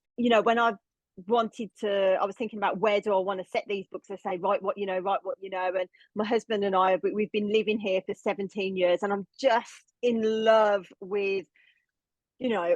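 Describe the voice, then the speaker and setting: A strong Birmingham accent at a moderate pace, with a dry, close sound and no echo. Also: woman, medium pitch for a woman. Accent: Birmingham (Brummie) English, still strong. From England, Birmingham. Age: 40s. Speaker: novelist. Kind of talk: podcast interview. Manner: animated.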